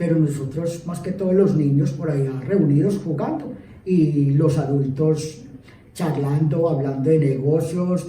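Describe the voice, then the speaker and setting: This man talks fairly slowly at a fairly high pitch, his pitch varying in an ordinary way, while noticeable background noise and audible room echo fill the recording. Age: 60s. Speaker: local councillor. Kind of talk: interview testimony. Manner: halting, many fillers.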